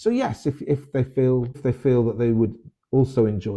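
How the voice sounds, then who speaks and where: Somewhat breathy and of medium pitch, a man with a British accent speaks at a fairly quick pace. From Britain. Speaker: novelist and teacher. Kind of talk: interview.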